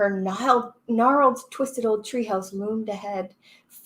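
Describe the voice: Against a quiet background, the text is given as plain reading aloud.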